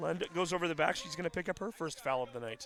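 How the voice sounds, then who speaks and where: A fairly quick pace and lively intonation, with noticeable background noise. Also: man. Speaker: sports play-by-play announcer. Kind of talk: live commentary. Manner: animated.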